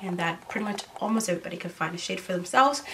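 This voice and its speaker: Noticeable background noise runs under a woman's voice with ordinary pitch variation. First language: not English. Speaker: beauty YouTuber. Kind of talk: product review vlog. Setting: seated in front of camera. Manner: casual, hesitant with fillers.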